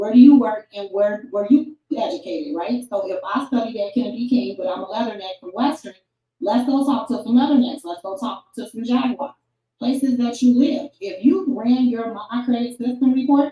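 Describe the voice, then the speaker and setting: A woman with an American accent speaks at a high pitch and moderate pace with ordinary pitch variation. Her loudness swings widely. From Chicago. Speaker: online marketing coach. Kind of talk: tutorial.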